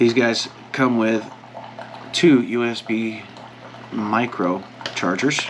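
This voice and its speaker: With a medium pitch and fairly even intonation, a man speaks at a very slow pace with long, frequent pauses over noticeable background noise. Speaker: outdoors vlogger. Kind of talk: casual vlog talk.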